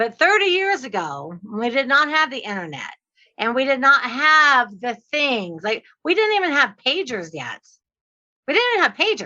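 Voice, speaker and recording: Her voice is raised and projected, high-pitched, with very wide swings in pitch. The woman's tone comes across bright and sharp. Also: moderate pace. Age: 60s. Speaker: real estate investor and trainer. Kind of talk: podcast interview.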